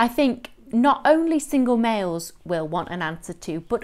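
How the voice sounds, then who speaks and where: Her intonation is lively as the woman talks. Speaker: lifestyle coach. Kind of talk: casual vlog chat. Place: home room. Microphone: phone near.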